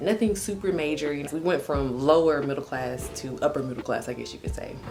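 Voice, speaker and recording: A woman with an American accent speaks at a very deep, low pitch with ordinary pitch variation. Music plays in the background, and there is audible room echo. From Texas, Houston. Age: 20s. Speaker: vlogger. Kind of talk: casual vlog monologue. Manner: casual, conversational.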